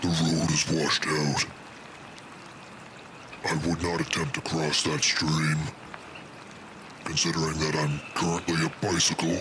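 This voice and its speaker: Through loud background noise, a man puts on a cartoonish character voice with a very deep, low pitch, talking at a moderate pace with long, frequent pauses. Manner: musing, cryptic.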